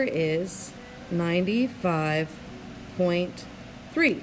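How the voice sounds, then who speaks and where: Over noticeable background noise, a woman at medium pitch speaks with lively intonation. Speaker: chemistry teacher. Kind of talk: tutorial. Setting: screencast.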